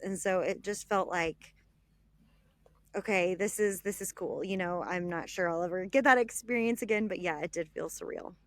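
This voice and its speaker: On a very clean recording with a silent background, a woman with a Texan accent speaks at a moderate pace and medium pitch, her intonation fairly even. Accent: Texan American. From Texas (Dallas). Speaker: travel blogger and author. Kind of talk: podcast interview.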